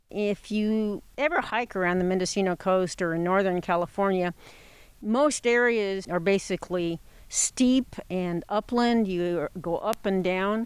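Recorded very cleanly with a silent background, a woman has a normal speaking voice, a medium pitch, ordinary pitch variation and a fairly slow pace. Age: 60s. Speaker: retired botanist. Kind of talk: interview. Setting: outdoors in a forest.

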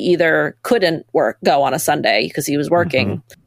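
With lively intonation, a woman talks at a moderate pace in an ordinary speaking voice. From Maine, US. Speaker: nonprofit staff member and co-founder. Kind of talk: casual interview.

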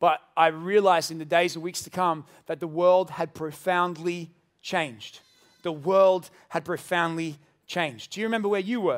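A man with an Australian accent and a high pitch, fairly even intonation, big swings in loudness, and a very clean recording with a silent background. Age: 30s. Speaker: pastor. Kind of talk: sermon. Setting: church.

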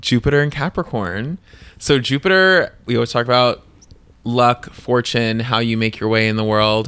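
A man speaks with an American accent at a moderate pace. His tone is bright and sharp, and the recording is very clean with a silent background. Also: medium pitch for a man, ordinary pitch variation. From New Jersey (Bayonne). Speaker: podcast co-host. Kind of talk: casual chat.

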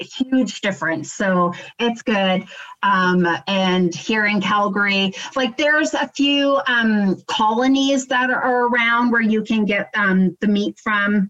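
A woman's fairly high voice with a Canadian accent, very slow pace, very even loudness, and ordinary pitch variation. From Ontario, Canada. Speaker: bitcoin entrepreneur. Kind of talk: casual chat.

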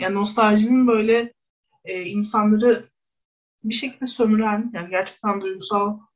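Her voice somewhat breathy, the woman delivers her words at a moderate pace. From Istanbul, Kadıköy (Bostancı). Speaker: sociology researcher. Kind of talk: radio interview.

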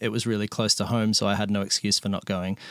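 A man of medium pitch talks at a very fast pace with an Australian accent. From Melbourne, Australia. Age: 30s.

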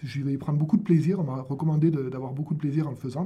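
Very fast speech from a man with a fairly high pitch and fairly even intonation. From southern France. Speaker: pharmaceutical marketing professional. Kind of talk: radio interview. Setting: studio.

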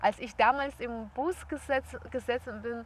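A woman speaks with a Russian accent. Her pitch sits fairly high. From Belarus. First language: Russian (speaking German). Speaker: yoga teacher and traveller. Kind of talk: casual interview. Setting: outdoors in a park.

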